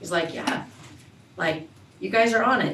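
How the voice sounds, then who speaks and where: Over noticeable background noise and audible room echo, a woman talks at a moderate pace with ordinary pitch variation. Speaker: school staff presenting to board. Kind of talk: board meeting presentation.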